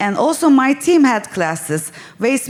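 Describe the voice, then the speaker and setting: Noticeable background noise beneath a woman speaking. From Turkey, Istanbul. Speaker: small hotel owner. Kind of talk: conference talk.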